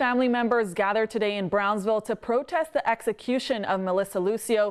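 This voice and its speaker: A woman uses a normal speaking voice at a fairly high pitch and a fairly quick pace. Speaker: TV news reporter and anchor. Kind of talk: TV news report.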